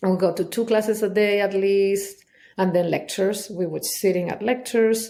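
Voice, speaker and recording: Her tone is dark and mellow, and the woman's intonation stays fairly even. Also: medium pitch for a woman, moderate pace. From Chile. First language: Spanish. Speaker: somatic trauma specialist. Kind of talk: interview answer. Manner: candid.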